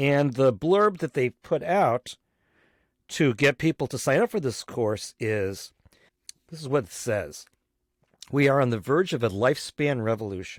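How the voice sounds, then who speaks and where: An ordinary speaking voice with lively intonation moves at a moderate pace, recorded very cleanly with a silent background and a dry, close sound with no echo. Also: man. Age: 60s. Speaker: podcast host. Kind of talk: solo podcast monologue.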